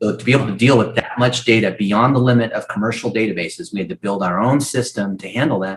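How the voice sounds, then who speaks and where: At a very fast pace with hardly any pauses, a man speaks at a medium pitch in a somewhat breathy voice, with ordinary pitch variation and big swings in loudness. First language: not English. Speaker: marketing expert, former search engineer. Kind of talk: podcast interview.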